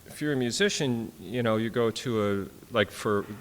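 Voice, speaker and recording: A man with a Minnesotan accent speaks with ordinary pitch variation. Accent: Minnesota. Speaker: fiddler and professor. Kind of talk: workshop talk. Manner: halting, many fillers.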